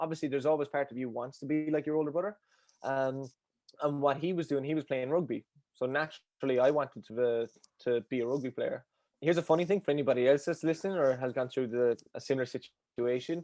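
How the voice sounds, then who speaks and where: In a strong Cork accent, a man talks at a very fast pace with a fairly high pitch and a dark, mellow tone. His intonation stays fairly even, and the sound is dry and close with no echo over a quiet background. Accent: Cork Irish, thick. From Ireland, Cork. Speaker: endurance coach. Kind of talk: podcast interview. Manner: high energy.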